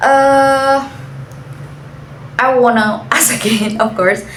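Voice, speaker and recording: Audible room echo and noticeable background noise fill the recording. A woman speaks with lively intonation in an Indonesian accent. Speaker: university student. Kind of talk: class assignment interview.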